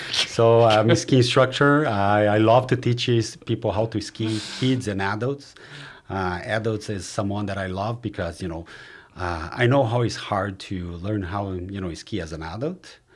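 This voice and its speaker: A man talks with a fairly low pitch and ordinary pitch variation. The recording is very clean, and the background is silent. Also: moderate pace. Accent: Brazilian. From Brazil. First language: Portuguese. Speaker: mortgage advisor and real estate investor. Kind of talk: casual chat.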